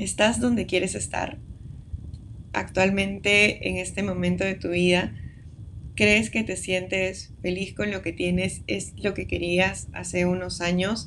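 A woman's very slow speech with audible room echo. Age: 20s. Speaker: podcast host. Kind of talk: casual monologue. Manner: hesitant with fillers.

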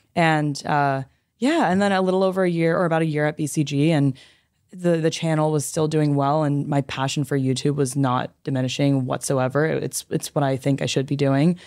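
A woman with a Californian accent speaks at a fairly quick pace in a very deep, low pitch, her intonation fairly even. The recording is very clean, with a silent background. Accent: Californian American English. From Los Angeles, US. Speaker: YouTuber and former management consultant. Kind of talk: casual interview.

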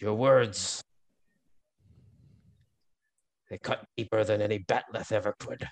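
Using a put-on character voice, a man speaks at a fairly slow pace and a fairly low pitch, with long, frequent pauses. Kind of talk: grandiose, theatrical. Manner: overly dramatic.

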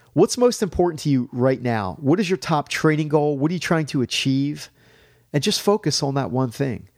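Over a silent background in a very clean recording, a man with a normal speaking voice talks at a moderate pace with a fairly high pitch and lively intonation. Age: 40s. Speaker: fitness podcast host. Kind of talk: solo motivational talk.

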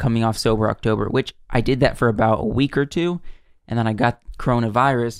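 With an American accent, a man speaks in an ordinary speaking voice at a medium pitch and a fairly quick pace, his intonation fairly even and his loudness very even, on a very clean recording with a silent background and a dry, close sound with no echo. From US South. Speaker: podcast co-host. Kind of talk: casual chat.

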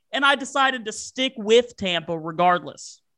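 A man's raised, projected voice, high in pitch, bright and sharp in tone, with an American accent and lively intonation against a quiet background. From Virginia. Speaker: sports podcast host. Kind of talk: casual chat.

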